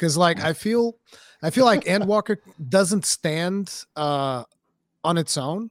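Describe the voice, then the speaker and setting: A man with a high-pitched voice and a Portuguese accent speaks very slowly with lively intonation and long, frequent pauses. The recording is very clean, with a silent background and a dry, close sound with no echo. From Portugal. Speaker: gaming content creator. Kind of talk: casual chat.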